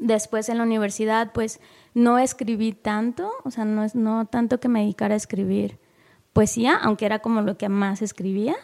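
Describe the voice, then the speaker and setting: A woman with a normal speaking voice talks at a moderate pace, her pitch fairly high. Intonation stays fairly even, and the recording is very clean with a silent background. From Mexico, coastal Guerrero. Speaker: poet and editor. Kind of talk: casual interview. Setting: studio booth.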